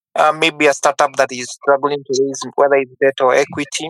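With music in the background, a man of fairly high pitch talks at a moderate pace in a dry, close sound with no echo. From Kenya. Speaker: impact investor. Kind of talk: panel discussion.

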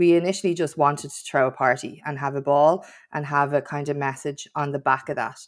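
A woman speaks with a Dublin accent. Her pitch is very deep and low, with ordinary pitch variation. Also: very clean recording, silent background. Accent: Irish (Dublin). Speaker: nail salon owner and podcast presenter, nightlife campaigner. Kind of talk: interview conversation.

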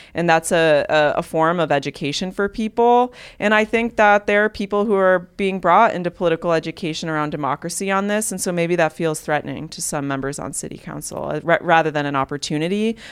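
On a very clean recording with a silent background, a woman with an American accent speaks at a very fast pace with hardly any pauses, her fairly low pitch showing ordinary variation. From Cleveland, Ohio, US Midwest. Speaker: community organizer and campaign manager. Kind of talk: interview.

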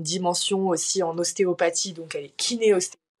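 With an unremarkable speaking voice, a woman speaks at medium pitch and a moderate pace, her intonation fairly even. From France, Paris. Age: 20s. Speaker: student and mental health influencer. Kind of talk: personal testimony in casual interview.

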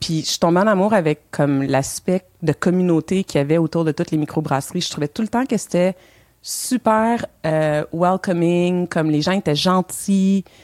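Very clean and dry, the recording captures a woman with a Quebec accent up close with no echo against a silent background. She talks at a moderate pace, with a fairly low pitch and ordinary pitch variation. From Montreal, Quebec. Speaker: co-founder of a diversity initiative in the beer industry. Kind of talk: podcast interview.

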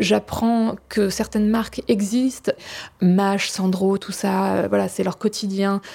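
A woman speaks at a very slow pace with a medium pitch. Her intonation is monotone and flat. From France, Champagne (village near Reims). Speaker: testimony guest. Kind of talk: personal testimony. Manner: hesitant.

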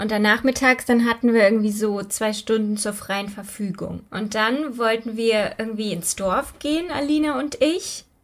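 A woman talks in a plain, everyday voice, fairly high in pitch with ordinary pitch variation, at a moderate pace with hardly any pauses. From Germany, Übach-Palenberg near Aachen. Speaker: true crime podcaster. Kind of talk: casual storytelling chat.

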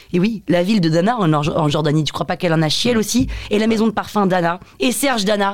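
A woman talks very fast at a medium pitch, keeping her loudness very even with ordinary pitch variation. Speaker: podcast host. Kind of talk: casual interview.

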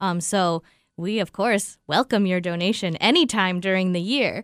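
An ordinary speaking voice from a woman with an American accent comes at a medium pitch and moderate pace, dry and close with no echo on a very clean recording with a silent background. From Southern California. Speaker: nonprofit marketing director. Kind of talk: casual interview. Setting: studio.

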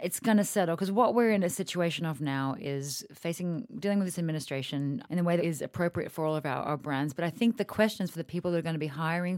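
A woman talks at a very fast pace with fairly low pitch and ordinary pitch variation. The recording is very clean, with a silent background. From Australia. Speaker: magazine editor in chief. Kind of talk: casual interview chat. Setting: studio. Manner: animated, chatty, jokey.

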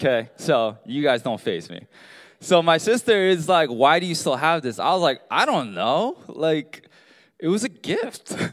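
On a very clean recording with a silent background, a man with a fairly high pitch and an American accent speaks at a fairly slow pace, his voice showing vocal fry and very wide pitch swings. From US, Baltimore. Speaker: pastor. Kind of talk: sermon. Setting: church with congregation.

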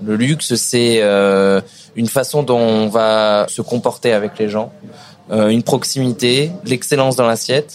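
A man's medium-pitched voice at a fairly slow pace, with ordinary pitch variation and noticeable background noise. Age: young. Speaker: chef, restaurant owner. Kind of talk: casual interview. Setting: in a restaurant.

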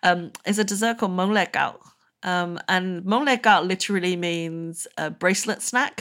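Here a woman with a British accent speaks at a medium pitch and a moderate pace, with ordinary pitch variation. The recording is very clean, with a silent background. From UK, Burmese family. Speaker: food writer. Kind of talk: interview.

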